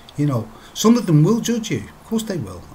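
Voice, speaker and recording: Speaking at a moderate pace, a man talks with a British accent. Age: 50s. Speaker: vlogger quitting smoking. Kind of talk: personal video diary. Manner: halting, repetitive.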